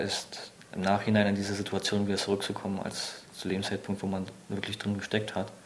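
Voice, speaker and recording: A man's fairly low pitch in a monotone, flat delivery over noticeable background noise. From Germany, near Berlin. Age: 20s. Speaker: soldier, reconnaissance scout. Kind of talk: testimony.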